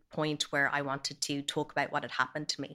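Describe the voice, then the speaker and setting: A woman with a Dublin accent speaks in a very deep, low pitch, her tone bright and sharp, her intonation monotone and flat. The recording is very clean, with a silent background. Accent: Dublin Irish. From Ireland, Dublin. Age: 30s. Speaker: abuse survivor. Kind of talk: testimony. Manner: hesitant, frequent 'um' fillers.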